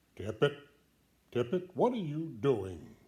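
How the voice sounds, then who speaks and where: A man puts on a character voice, pitched fairly high and delivered fairly slowly. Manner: calling out, challenging.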